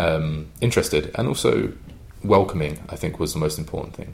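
A man with a London accent, a very deep, low pitch and a moderate pace. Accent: English, London-area. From London, England. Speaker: drinks brand ambassador. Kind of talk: casual interview chat. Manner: conversational, with fillers.

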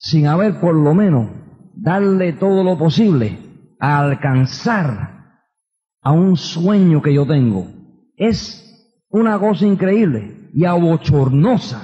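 Here a man talks at a very slow pace with a high pitch. His loudness is very even, while his intonation is lively. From New York (Queens, Bronx). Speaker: motivational speaker, business leader. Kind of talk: motivational talk. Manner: animated.

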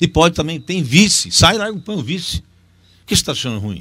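A man's voice swings very widely in pitch on a very clean recording with a silent background. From Brazil, interior of São Paulo state. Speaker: doctor and surgeon. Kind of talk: casual interview chat. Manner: soft-spoken.

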